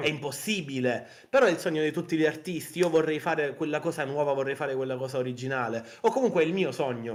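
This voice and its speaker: A man speaks in a passionate tone at a very fast pace. His pitch varies in an ordinary way. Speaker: indie game developer and artist, guest in interview. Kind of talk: interview answer, casual conversational talk. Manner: fast, expressive, passionate, rambling.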